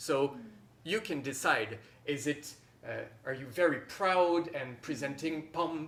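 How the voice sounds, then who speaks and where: Speaking in a French accent, a man keeps to a very slow pace. His pitch is fairly high. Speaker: harpist and workshop teacher. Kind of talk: masterclass teaching. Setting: workshop with online participants.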